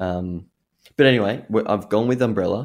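A man with an Australian accent speaks at a fairly low pitch. The recording is very clean, with a silent background. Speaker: radio host. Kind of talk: radio DJ patter.

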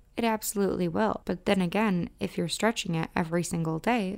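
In a very clean recording with a silent background, a woman of medium pitch speaks at a moderate pace with ordinary pitch variation and a Midwestern US accent. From US Midwest. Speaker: podcast host and romance specialist. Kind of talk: podcast talk, educational and promotional.

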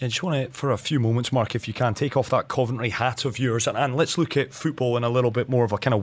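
A man's medium-pitched voice at a very fast pace, with fairly even intonation and a very clean recording over a silent background. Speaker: radio host. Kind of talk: radio interview.

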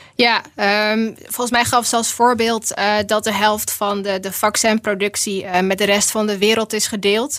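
At a fairly slow pace, a woman speaks at a medium pitch. Her intonation is monotone and flat. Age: 30s. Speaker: policy researcher. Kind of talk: casual chat. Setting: studio.

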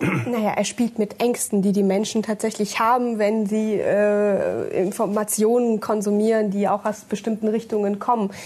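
Over noticeable background noise, a woman speaks at a moderate pace with hardly any pauses. Her fairly high pitch comes with very even loudness and monotone, flat intonation. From Germany, born in Russia, moved at six. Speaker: politician. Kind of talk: panel discussion. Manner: hesitant, many fillers.

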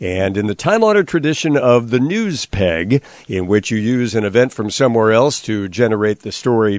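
A man with an ordinary speaking voice talks at a moderate pace and medium pitch, with lively intonation. The sound is dry and close, with no echo. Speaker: radio host. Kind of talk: news-archive show host introduction.

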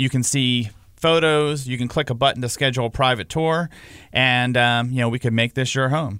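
At a moderate pace and medium pitch, a man speaks with fairly even intonation in an unremarkable speaking voice. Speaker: real estate podcast host. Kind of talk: casual chat.

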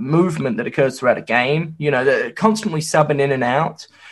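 With lively intonation and a fairly quick pace, a man speaks in a somewhat breathy, fairly high voice. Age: 20s. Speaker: sports podcast host. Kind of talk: casual chat.

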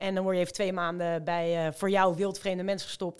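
With an ordinary speaking voice, a woman talks at a fairly quick pace and a fairly low pitch. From Rotterdam, Netherlands. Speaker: amateur marathon runner. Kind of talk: casual chat.

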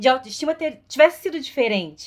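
A woman is speaking. Her pace is very fast. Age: 30s. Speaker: actress. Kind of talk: casual chat.

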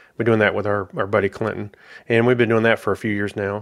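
A man with an American accent and a fairly low pitch, in a very clean recording with a silent background. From South Carolina, US South. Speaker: software manager. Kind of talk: casual interview.

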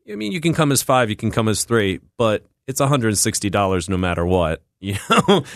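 With a quiet background and a dry, close sound with no echo, a man of fairly low pitch speaks at a fairly quick pace with lively intonation. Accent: Philadelphia. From US Northeast, West Philadelphia. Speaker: chef and restaurant owner. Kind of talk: interview. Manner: halting.

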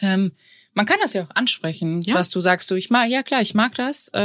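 A woman with a plain, everyday voice at medium pitch talks at a fairly quick pace in a very clean recording with a silent background. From Bavaria, Tegernsee area. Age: 30s. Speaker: podcast co-host. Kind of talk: casual chat.

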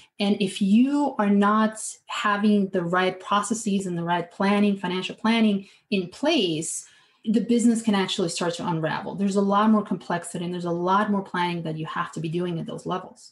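At a fairly quick pace, a woman with an American accent speaks somewhat breathily at a medium pitch, with ordinary pitch variation. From outside the US. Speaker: fractional CFO, finance consultant. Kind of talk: interview.

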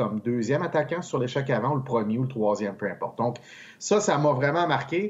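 This man's somewhat breathy voice sits at a medium pitch. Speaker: hockey analyst. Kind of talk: casual chat.

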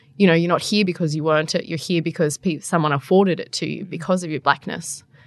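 Over a quiet background, a woman talks with an Australian accent. Her pitch is fairly low, with ordinary pitch variation. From New South Wales central coast, Australia. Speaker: political journalist. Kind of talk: casual interview.

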